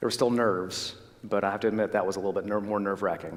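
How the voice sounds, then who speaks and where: A fairly low-pitched male voice with audible room echo. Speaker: dentist. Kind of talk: health talk to a church audience. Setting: church stage with audience. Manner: fast; loud.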